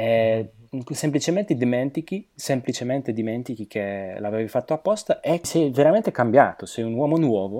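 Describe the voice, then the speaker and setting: Speaking at a moderate pace, a man uses a dark, mellow tone with lively intonation. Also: medium pitch for a man, very clean recording, silent background. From southern Slovakia. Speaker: polyglot. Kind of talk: interview. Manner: halting.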